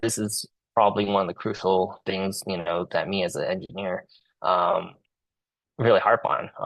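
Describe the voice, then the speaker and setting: A man with a Cantonese accent speaks at a fairly low pitch and a moderate pace with fairly even intonation. The background is quiet. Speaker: engineer and community representative; Marine veteran. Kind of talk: presentation at a public meeting. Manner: halting, many repetitions and fillers.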